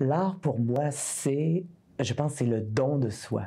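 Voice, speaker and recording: A woman speaks at a very slow pace with a very deep, low pitch. Her tone is dark and mellow, with ordinary pitch variation. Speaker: singer-songwriter. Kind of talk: interview answer.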